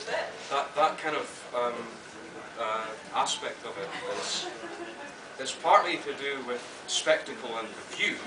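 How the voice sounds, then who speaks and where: A man talks with his pitch moving in an ordinary way while noticeable noise runs in the background. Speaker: poet and literature professor. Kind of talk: interview answer. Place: hall.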